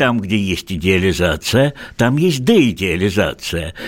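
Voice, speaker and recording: At a fairly slow pace, a man with lively intonation speaks in a plain, everyday voice. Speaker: sexologist. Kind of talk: radio talk show discussion. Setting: studio.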